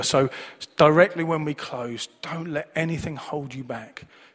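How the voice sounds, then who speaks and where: Speaking with a Manchester accent, a man has a fairly high pitch. His pitch variation is ordinary. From Manchester, England. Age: 40s. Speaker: preacher. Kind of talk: sermon. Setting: church service with congregation.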